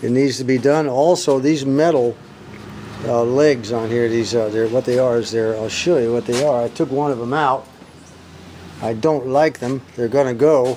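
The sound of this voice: A man speaks at a moderate pace and a medium pitch, his tone dark and mellow. His intonation is fairly even, with faint background noise.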